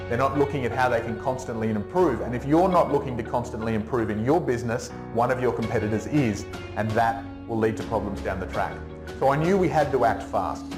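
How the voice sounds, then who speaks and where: Speaking at a very fast pace with an energetic tone and very wide pitch swings, a man is heard over music in the background. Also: medium pitch for a man. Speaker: business coach and keynote speaker. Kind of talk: keynote talk and presentation to an audience. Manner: energetic, conversational.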